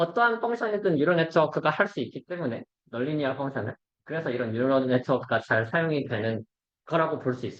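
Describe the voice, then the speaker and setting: A man talks at a fairly high pitch with lively intonation. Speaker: robotics researcher presenting seminar. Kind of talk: academic seminar lecture. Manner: fast.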